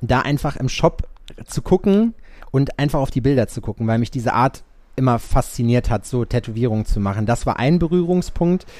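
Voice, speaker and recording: An ordinary speaking voice at a moderate pace with lively intonation. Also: man, medium pitch for a man. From Sauerland, western Germany. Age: 30s. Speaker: tattoo artist. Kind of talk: casual interview chat.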